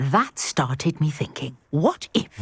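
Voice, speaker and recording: In a put-on character voice, the speaker growls at a middle pitch with a cheerful tone and a fairly slow pace. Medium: video game. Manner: brisk, cheerful, scholarly.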